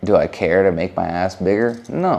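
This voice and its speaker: Speaking with an American accent, a man uses a fairly low pitch in an animated tone. He moves at a fairly slow pace with very wide pitch swings. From California. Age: 20s. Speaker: YouTuber and stylist. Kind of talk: casual Q&A vlog.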